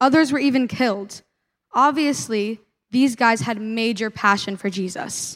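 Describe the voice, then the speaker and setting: Pitched fairly high, the woman talks in a plain, everyday voice with ordinary pitch variation. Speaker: youth leader. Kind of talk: sermon. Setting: stage with audience.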